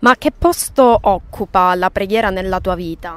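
Recorded dry with no echo, a woman with a medium-pitched, unremarkable speaking voice talks fairly slowly with ordinary pitch variation. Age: 20s. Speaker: interviewer. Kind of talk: interview. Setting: outdoors by a lake. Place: waterside. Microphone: handheld.

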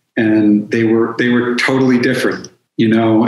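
Audible room echo surrounds a man speaking at a medium pitch. His delivery stays monotone, with flat intonation. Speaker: addiction counselor and author. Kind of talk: casual interview. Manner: calm and direct. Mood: warm, reflective. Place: home room.

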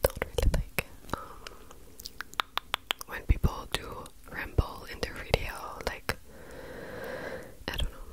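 Whispering in a gentle tone, a woman speaks very slowly with long, frequent pauses and big swings in loudness. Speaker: ASMR creator. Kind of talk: ASMR mouth sounds and rambling to camera. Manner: soft, gentle, repeated words as a trigger. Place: home room. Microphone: handheld.

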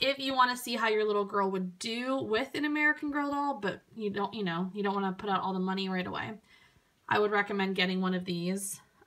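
The speech comes at a very fast pace with ordinary pitch variation. There is noticeable background noise. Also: woman, medium pitch for a woman. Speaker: doll reviewer. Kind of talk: product review. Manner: loud breathing.

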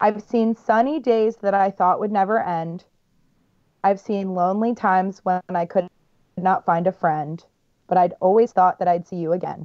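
In an ordinary speaking voice, a woman speaks at a moderate pace and medium pitch with ordinary pitch variation. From Baltimore, US. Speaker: guest trivia game host. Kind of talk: reading trivia questions.

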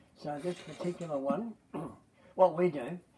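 A man is speaking. There is noticeable background noise behind him. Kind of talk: demonstration talk to a group. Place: garden. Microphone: headset.

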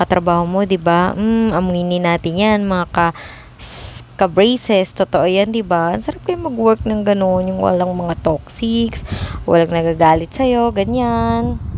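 At a fairly slow pace, a woman talks with lively intonation, the sound dry with no echo and light background noise present. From Philippines. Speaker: vlogger. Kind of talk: casual vlog monologue. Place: office. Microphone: phone near.

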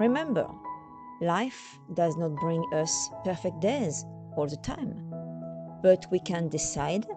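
Over background music, a woman with a Parisian accent speaks very slowly in a warm, upbeat tone. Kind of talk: spoken anniversary greeting message.

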